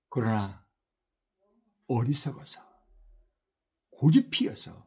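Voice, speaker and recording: A man speaks at a fairly slow pace, somewhat breathy, with a dark, mellow tone. His pitch varies in an ordinary way. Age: 60s. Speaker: missionary preacher. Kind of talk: sermon.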